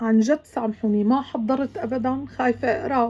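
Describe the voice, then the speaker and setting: A woman with a Syrian accent speaks with ordinary pitch variation. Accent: Levantine Arabic (Syrian). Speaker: vlogger. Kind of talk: emotional video monologue. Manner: emotional; halting.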